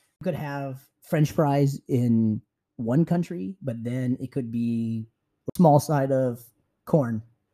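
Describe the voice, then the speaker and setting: A man's dark, mellow voice with a Californian accent, medium pitch and ordinary pitch variation, at a very slow pace, in a dry, close sound with no echo. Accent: Californian American. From San Francisco, US. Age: 20s. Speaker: podcast host. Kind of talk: solo travel podcast monologue.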